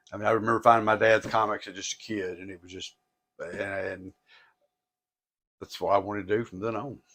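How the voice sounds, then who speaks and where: A man with a Tennessee accent, a bright, sharp tone, a fairly quick pace, long, frequent pauses and big swings in loudness, on a very clean recording with a silent background. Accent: Southern US (Tennessee). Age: 60s. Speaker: record and comic store owner. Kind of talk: casual interview chat. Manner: halting, repetitive.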